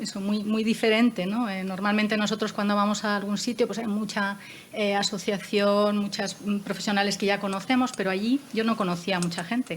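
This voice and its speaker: A woman with a medium pitch and fairly even intonation talks at a moderate pace while noticeable background noise plays behind her. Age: 60s. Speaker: moderator of a panel discussion. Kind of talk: panel discussion. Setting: panel with armchairs and table. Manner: hesitant, with many fillers.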